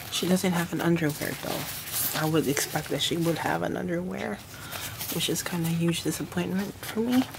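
Noticeable background noise accompanies speech that goes at a moderate pace. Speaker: doll collector reviewer. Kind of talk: product review. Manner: halting. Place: home room.

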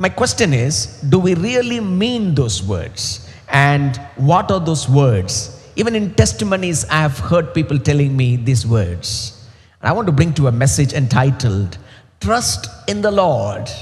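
A man's somewhat breathy voice at a fairly slow pace, with very wide pitch swings. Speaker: preacher. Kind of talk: sermon. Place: stage. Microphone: headset.

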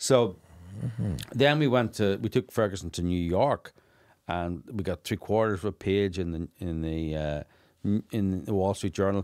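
Over a quiet background, a man with a Northern Irish accent speaks at a moderate pace and fairly low pitch, with ordinary pitch variation. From Northern Ireland. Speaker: documentary filmmaker; podcast guest. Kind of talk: interview conversation. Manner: animated. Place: studio. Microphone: studio mic.

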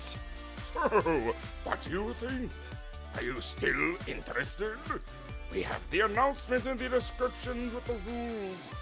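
With loud music in the background, a man performs a cartoonish character voice at a fairly slow pace.

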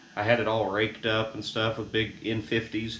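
Light background noise and noticeable room echo accompany the man as he talks. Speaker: car hobbyist vlogger. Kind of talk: casual vlog chat. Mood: relaxed, wry humor. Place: garage. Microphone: camera far.

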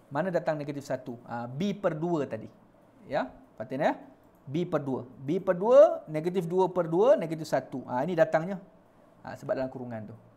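Dark and mellow in tone, a man speaks at a moderate pace with lively intonation and big swings in loudness. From Malaysia. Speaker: online maths tutor. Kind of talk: live online maths lesson. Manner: animated. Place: studio. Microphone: lapel.

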